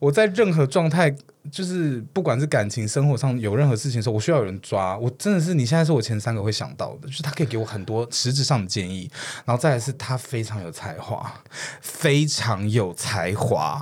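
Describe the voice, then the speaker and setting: A man talks at a fairly quick pace in a medium-pitched, somewhat breathy voice with lively intonation. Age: 30s. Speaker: podcast co-host. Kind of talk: casual chat.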